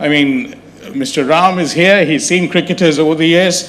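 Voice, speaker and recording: Over noticeable background noise, a man talks with a high pitch. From India, Chennai. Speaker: gastroenterologist, endoscopist. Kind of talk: talk at a public health awareness event.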